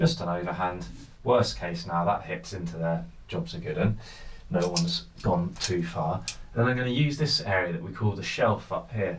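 With audible room echo, a man talks at a moderate pace in a low pitch with ordinary pitch variation.

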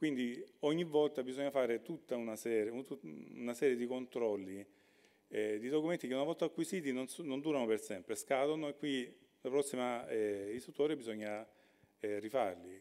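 Dark and mellow in tone, a man speaks at a medium pitch. His pace is moderate, with ordinary pitch variation. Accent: Salentine. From Salento, Lecce area. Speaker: regional government official. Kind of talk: conference talk.

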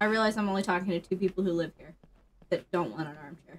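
A woman's speech moves at a very fast pace. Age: 30s. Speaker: streamer's wife. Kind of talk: casual chat. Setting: home studio. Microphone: headset.

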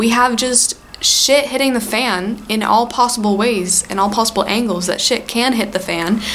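A woman with a fairly high pitch speaks in an animated tone over noticeable background noise. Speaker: book vlogger and university student. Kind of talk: casual vlog.

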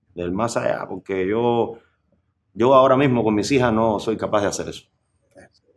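Speaking in a Cuban accent, a man leaves long, frequent pauses. His intonation is fairly even, but his loudness swings widely. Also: medium pitch for a man, moderate pace. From Cuba, rural Sancti Spíritus near Trinidad. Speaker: musician. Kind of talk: interview. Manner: halting.

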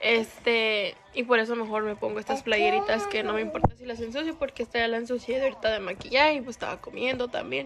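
Speech races at a very fast pace with lively intonation and hardly any pauses. Loud background noise fills the recording. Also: woman, fairly high pitch for a woman. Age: 20s. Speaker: vlogger. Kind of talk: casual talk to camera. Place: home room. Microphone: phone near.

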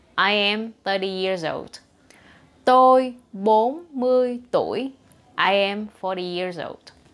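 In a Vietnamese accent, a woman talks very slowly at a fairly high pitch with ordinary pitch variation. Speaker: language teacher. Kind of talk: tutorial. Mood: cheerful, smiling. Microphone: lapel.

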